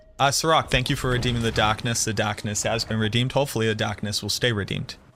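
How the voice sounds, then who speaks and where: A man with an American accent talks at a very fast pace in a bright, sharp tone, his pitch medium for a man. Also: fairly even intonation. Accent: slight Boston accent, mostly suppressed. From Boston area, Revere, Massachusetts. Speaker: video game streamer. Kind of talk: live gameplay stream chat.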